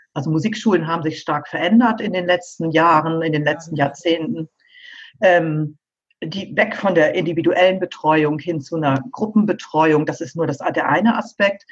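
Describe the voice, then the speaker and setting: A woman speaks at a moderate pace. Her voice is fairly low and somewhat breathy. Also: ordinary pitch variation. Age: 50s. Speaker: pianist and piano teacher. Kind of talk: interview.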